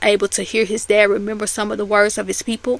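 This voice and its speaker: This woman has a fairly high pitch and a bright, sharp tone. She speaks with an American accent. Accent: Southern US accent noted by others. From US South (Memphis / Mississippi). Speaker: YouTube commentator. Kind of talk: casual commentary recap.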